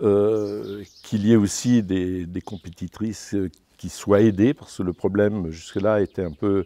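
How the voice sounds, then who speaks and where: Fairly low male voice, dark and mellow in tone, at a fairly slow pace with fairly even intonation, in a dry, close sound with no echo. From Brittany, France (Dinan area). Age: 60s. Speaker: international cycling commissaire. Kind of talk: interview. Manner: halting, many hesitations and repetitions.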